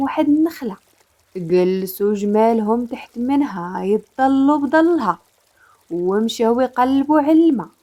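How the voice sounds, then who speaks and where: A woman with a Moroccan accent speaks at a very slow pace, her high pitch carrying lively intonation. Her tone is calm, dark and mellow. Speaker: storyteller. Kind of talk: storytelling narration.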